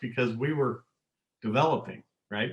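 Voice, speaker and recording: A man's somewhat breathy voice. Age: 60s. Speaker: manufacturing consultant and executive. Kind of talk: podcast interview.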